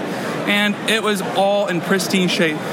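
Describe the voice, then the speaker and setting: Noticeable background noise runs under this man's speech. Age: 20s. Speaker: college student and toy collector. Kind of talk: casual interview chat.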